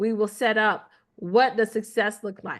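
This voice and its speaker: The voice belongs to a woman with a fairly high pitch. Behind her, the background is quiet. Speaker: marketing consultant. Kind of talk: business meeting presentation. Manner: fast.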